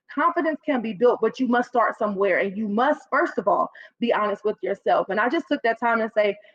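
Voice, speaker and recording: High-pitched woman with a Chicago South Side accent, animated in tone, at a fairly quick pace with lively intonation, recorded dry and close with no echo. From South Side of Chicago, US. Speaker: public speaking coach. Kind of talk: podcast interview. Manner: stutters a little when excited.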